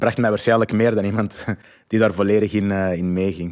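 Over a very clean recording with a silent background, a man with a Flemish accent speaks very fast in a fairly low pitch with monotone, flat intonation. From Flanders, Belgium (Antwerp). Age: 30s. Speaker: entrepreneur and parenting coach. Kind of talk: interview. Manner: hesitant, many fillers and repetitions.

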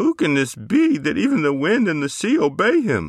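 A man's put-on character voice at a high pitch, with very wide pitch swings, very even loudness and a moderate pace. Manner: put-on voice, changed for the speech of the disciples.

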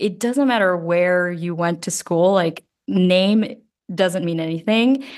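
With an American accent, a woman speaks fairly slowly in a normal speaking voice. Her pitch sits fairly low and varies in an ordinary way. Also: quiet background. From US (grew up from age 8, Georgia), early childhood in the Philippines. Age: 30s. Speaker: futures designer. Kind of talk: casual chat.

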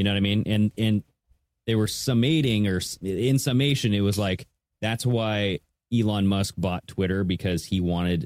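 With an American accent, a man speaks at a moderate pace in an ordinary speaking voice, fairly low in pitch with ordinary pitch variation. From Washington state, US. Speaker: podcast co-host. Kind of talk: casual chat.

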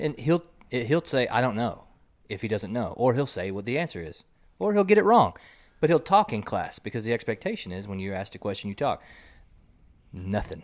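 Delivered at a fairly quick pace, the speech has long, frequent pauses, very wide pitch swings and big swings in loudness, on a very clean recording with a silent background. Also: man, medium pitch for a man. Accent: American. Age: 30s. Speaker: podcast host. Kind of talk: casual chat. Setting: studio.

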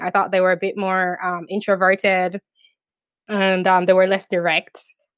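A woman's medium-pitched voice with a Jamaican accent, at a moderate pace, in a dry, close sound with no echo and a quiet background. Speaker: YouTube commentator. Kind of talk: casual interview.

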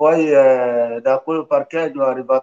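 At a fairly slow pace, a man speaks with fairly even intonation at a medium pitch. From northern Ivory Coast. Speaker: migrant sharing life story. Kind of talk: radio interview, testimony. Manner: halting.

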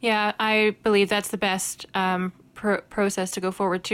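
Recorded very cleanly against a silent background, a woman with a Northern Irish accent talks at a moderate pace and medium pitch in a monotone, flat intonation. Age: 30s. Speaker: podcast co-host. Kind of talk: casual chat.

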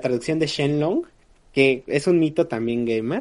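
A man talks at a fairly slow pace. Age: 20s. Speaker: podcast co-host. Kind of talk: casual chat.

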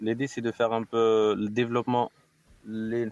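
A man's voice in a dry, close sound with no echo. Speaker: engineer, company founder. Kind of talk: casual chat, tech talk.

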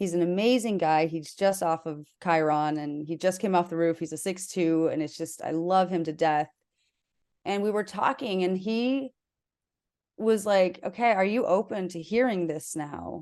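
An ordinary speaking voice with an American accent moves at a moderate pace with ordinary pitch variation against a quiet background. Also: woman, fairly low pitch for a woman. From South Dakota, US Midwest. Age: 30s. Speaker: human design coach. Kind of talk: casual interview chat.

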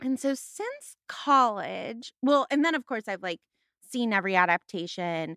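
A woman with a Californian accent speaks in a bright, sharp tone with lively intonation. The recording is very clean, with a silent background and a dry, close sound with no echo. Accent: Californian American. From US West Coast, San Fernando Valley, Los Angeles. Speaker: podcast guest, literature enthusiast. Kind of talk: casual chat.

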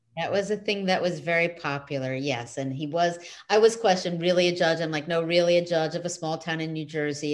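A woman talks fairly quickly in a fairly low voice with fairly even intonation. It is an unremarkable speaking voice. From US Northeast. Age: 50s. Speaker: author and positive psychology coach. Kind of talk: interview.

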